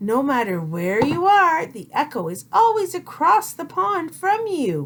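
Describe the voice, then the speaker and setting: Using a put-on character voice, a woman speaks at a fairly slow pace with a high pitch, a gentle tone and very wide pitch swings. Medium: read story. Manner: gentle, patient.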